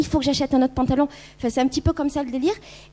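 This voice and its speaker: This woman has a high-pitched voice. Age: 30s. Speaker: YouTuber and blogger on minimalism. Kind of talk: conference talk. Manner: casual, hesitant with many fillers.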